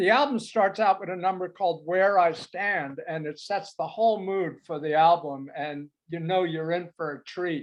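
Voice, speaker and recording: With an American accent, a man talks at a fairly slow pace in a high pitch with ordinary pitch variation. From US Northeast, Queens New York and Cape Cod. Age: 70s. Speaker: music reviewer, former record store manager. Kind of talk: casual chat, album review.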